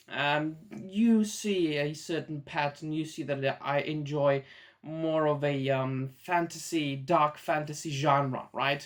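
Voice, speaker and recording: Very slow speech with a Czech accent in a very clean recording with a silent background. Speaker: YouTuber, manga reviewer. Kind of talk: casual vlog monologue. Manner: hesitant, many fillers.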